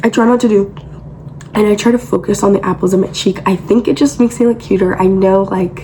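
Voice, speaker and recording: Noticeable background noise sits behind a woman with a medium pitch. She speaks at a very fast pace with very even loudness. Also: ordinary pitch variation. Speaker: beauty content creator. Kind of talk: makeup tutorial. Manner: casual, filler-heavy.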